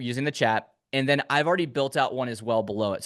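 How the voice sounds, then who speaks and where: A man with a plain, everyday voice speaks at a fairly high pitch. His pitch varies normally, and the background is quiet. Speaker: online business coach. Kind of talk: live tutorial. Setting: livestream with chat.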